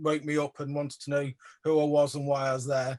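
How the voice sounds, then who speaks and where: A man's fairly high voice with an English accent and monotone, flat intonation. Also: dry, close sound with no echo. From England. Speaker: artist / photographer. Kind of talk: exhibition talk Q&A. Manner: hesitant, many fillers.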